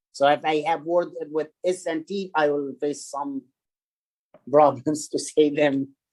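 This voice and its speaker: Someone with an Arabic accent speaks at a very slow pace. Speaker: statistics instructor. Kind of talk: lecture. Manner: halting.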